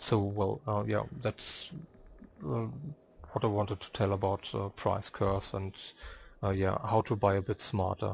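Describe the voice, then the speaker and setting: A man with a non-native accent, fairly low in pitch, with vocal fry, long and frequent pauses, and a quiet background. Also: ordinary pitch variation, fairly slow pace. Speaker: video game guide maker. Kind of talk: game tutorial narration. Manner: hesitant, many filler sounds.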